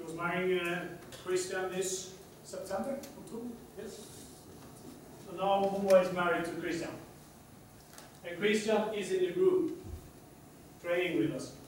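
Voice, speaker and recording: A man's high-pitched voice at a moderate pace, with fairly even intonation, big swings in loudness, long, frequent pauses, noticeable background noise and audible room echo. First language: Swedish. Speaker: athletics coach. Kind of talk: lecture. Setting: conference hall with audience. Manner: halting.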